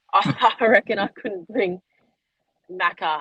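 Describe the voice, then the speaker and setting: A woman's fairly slow speech with ordinary pitch variation, in a dry, close sound with no echo. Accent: Australian. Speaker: women's football player. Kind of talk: casual interview. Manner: loud.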